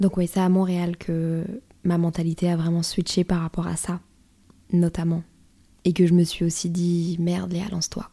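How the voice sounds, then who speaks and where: A woman speaks in a monotone, flat intonation, her tone dark and mellow and somewhat breathy. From northern France. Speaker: podcast host. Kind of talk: personal monologue.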